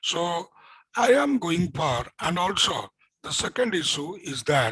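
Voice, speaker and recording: Dry and close with no echo, a man's high-pitched voice has a bright, sharp tone and very wide pitch swings at a fairly slow pace. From India, Odisha. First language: Odia. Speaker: physics teacher. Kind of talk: lecture. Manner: repetitive, halting.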